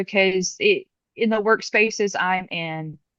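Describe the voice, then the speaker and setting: A woman with a Southern US accent, lively in intonation and fairly slow in pace, over a quiet background with a dry, close sound and no echo. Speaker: community member asking a question. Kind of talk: Q&A question on video call.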